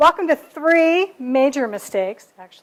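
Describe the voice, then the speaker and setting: A woman talks at a moderate pace, her intonation lively throughout. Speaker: conference speaker. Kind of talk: presentation to a live audience. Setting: room with live audience. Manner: projecting, raised volume after request.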